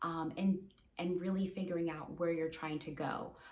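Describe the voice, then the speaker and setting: A woman's somewhat breathy voice, medium in pitch, dark and mellow in tone, at a moderate pace. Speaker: therapist. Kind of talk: advice monologue to camera. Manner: repetitive, many fillers and restarts.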